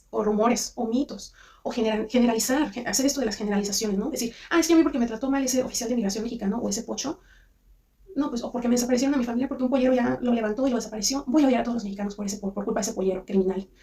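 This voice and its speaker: Over noticeable background noise, a woman talks at a very fast pace. Her pitch is fairly high, with ordinary pitch variation. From Mexico. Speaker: commentary youtuber. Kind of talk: casual commentary monologue. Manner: halting, many restarts.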